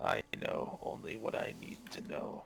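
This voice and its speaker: A raspy, put-on character voice from a man at a moderate pace, with clear background noise. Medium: actual play. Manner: cryptic, guarded.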